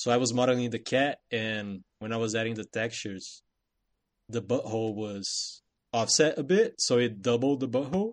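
A man speaks in a normal speaking voice at a medium pitch and moderate pace. His pitch varies ordinarily over a quiet background. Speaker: video game developer. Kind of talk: casual chat.

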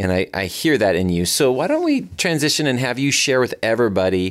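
Lively intonation and a fairly quick pace mark a normal speaking voice on a very clean recording with a silent background. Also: man. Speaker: chamber of commerce president and podcast host. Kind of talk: interview.

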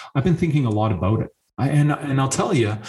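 This voice is somewhat breathy, with a Canadian accent. Its pitch varies in an ordinary way. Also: man. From Canada. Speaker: engineering professor. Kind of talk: podcast interview.

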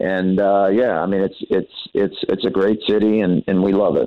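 A plain, everyday voice at a moderate pace. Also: man. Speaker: college basketball head coach. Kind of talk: radio interview.

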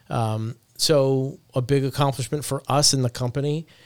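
A man's unremarkable speaking voice at medium pitch, with ordinary pitch variation. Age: 40s. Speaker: agency founder. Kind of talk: casual chat. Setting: office.

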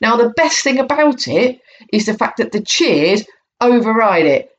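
This woman's voice sits fairly high and carries vocal fry. Her intonation is lively. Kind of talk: angry rant. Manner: irate, sarcastic and profane, mocking the booers' 'free speech' claim.

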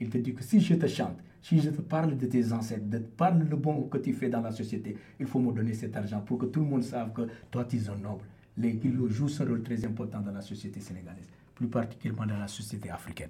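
A man speaks very fast in a medium-pitched, somewhat breathy voice with a dark, mellow tone. His pitch varies in an ordinary way, and the room echo is audible. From Senegal. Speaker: percussionist and singer. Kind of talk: radio interview.

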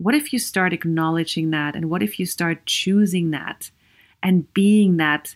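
On a very clean recording with a silent background, a woman with an Austrian accent speaks at a fairly slow pace, her fairly low pitch carrying lively intonation. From Vienna, Austria. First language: German. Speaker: podcast host and psychologist. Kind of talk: solo podcast monologue.

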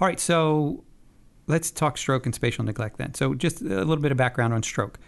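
An ordinary speaking voice from a man, fairly high in pitch, moves at a moderate pace with ordinary pitch variation. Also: quiet background. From US. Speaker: communications director and interviewer. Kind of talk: interview. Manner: casual, conversational.

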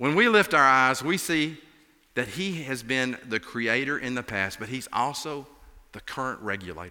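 Speaking at a moderate pace, a man with an Appalachian accent has a bright, sharp tone, medium pitch, vocal fry and very wide pitch swings. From Appalachia, US. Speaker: pastor filling in. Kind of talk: sermon. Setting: church.

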